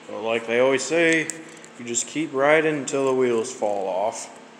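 A man with an American accent speaks at a moderate pace, his pitch medium with ordinary variation. Faint background noise sits behind him.

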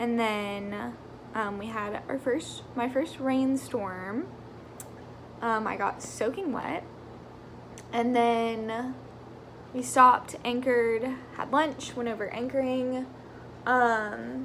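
With light background noise, a woman speaks at a very slow pace, using fairly even intonation and long, frequent pauses. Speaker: vlogger. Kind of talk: casual vlog chat. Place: home room. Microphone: phone near.

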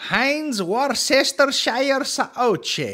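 A man speaks at a very slow pace with an extremely high pitch and a bright, sharp tone. His pitch varies in an ordinary way.

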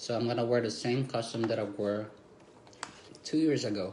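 Light background noise and audible room echo around a man's voice with ordinary pitch variation. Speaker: vlogger. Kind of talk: casual vlog chat. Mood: relaxed, cheerful. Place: home room. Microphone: phone near.

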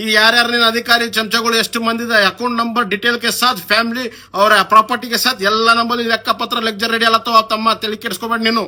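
Over noticeable background noise, a man projects a raised voice at an extremely high pitch, his intonation monotone and flat. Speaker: local politician. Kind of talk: political rant video. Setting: Facebook live video. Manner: heated, confrontational.

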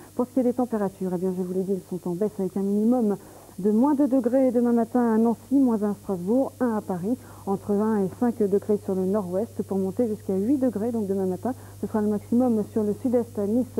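This woman has a dark, mellow tone. She talks at a fairly quick pace with fairly even intonation. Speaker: TV presenter. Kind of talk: weather forecast presentation. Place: studio. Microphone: lapel.

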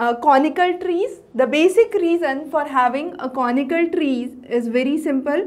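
A woman with a high voice speaks at a fairly slow pace and with lively intonation. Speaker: teacher. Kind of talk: lecture. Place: classroom. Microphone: lapel.

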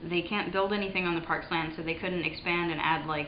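A woman's fairly low voice with fairly even intonation, light background noise and audible room echo. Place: home room. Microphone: webcam.

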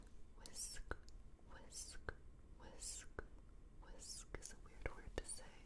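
Very slow whispering from a woman. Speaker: ASMR creator. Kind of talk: soft-spoken ASMR trigger talk. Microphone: studio mic.

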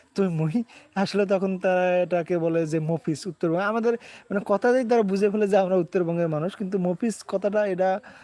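A man's high-pitched, dark and mellow voice with very even loudness and fairly even intonation, in a dry, close sound with no echo against a quiet background. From northern Bangladesh, Kurigram district. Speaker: comedy content creator. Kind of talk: casual live-stream chat. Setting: outdoor shooting location.

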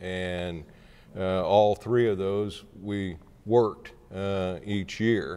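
Pitched fairly low, a man talks at a very slow pace. He leaves long, frequent pauses and keeps his intonation fairly even. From southeast Kansas. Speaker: former state senator and county appraiser. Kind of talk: oral history interview. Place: hall. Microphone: lapel.

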